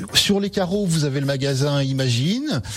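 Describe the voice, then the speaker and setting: Lively intonation carries this fairly slow delivery. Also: man. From French Alps, Haute-Savoie. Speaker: mountain guide and artisan. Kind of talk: radio interview. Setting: radio studio. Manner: hesitant, many fillers.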